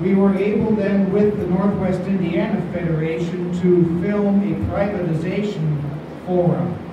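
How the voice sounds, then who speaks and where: Audible room echo and noticeable background noise surround a man's high-pitched voice. He speaks at a fairly slow pace with monotone, flat intonation. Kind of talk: public talk to an audience. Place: hall. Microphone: camera far.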